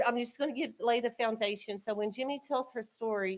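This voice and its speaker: A loud, high-pitched woman's voice at a fairly quick pace, with fairly even intonation. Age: 40s. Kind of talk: public talk to community audience. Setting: community event with live audience, eating.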